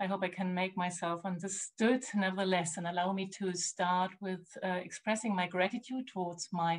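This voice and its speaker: With a German accent, a woman speaks at a medium pitch, somewhat breathy and with fairly even intonation. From Germany. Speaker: art historian and curator. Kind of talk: lecture. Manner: halting, many fillers.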